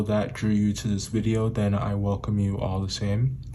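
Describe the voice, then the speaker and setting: Somewhat breathy, a man with a fairly low pitch speaks at a moderate pace with audible room echo. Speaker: tarot reader. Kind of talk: tarot reading.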